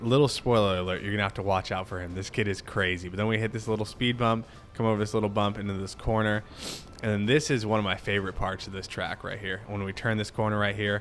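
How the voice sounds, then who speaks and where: Very fast talking from a man with a fairly low pitch, music in the background. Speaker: cycling vlogger and amateur racer. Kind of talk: race commentary over footage. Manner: animated.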